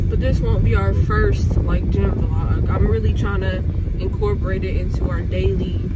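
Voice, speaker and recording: Loud noise fills the background. The pace is moderate. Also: woman. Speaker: vlogger. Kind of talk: casual vlog chat. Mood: mildly upset after gym. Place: car. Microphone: phone near.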